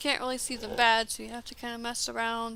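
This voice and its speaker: Her voice is fairly high for a woman, with a bright, sharp tone and monotone, flat intonation. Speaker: gaming streamer. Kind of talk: casual live-stream chat while building. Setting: live stream. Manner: hesitant, many fillers.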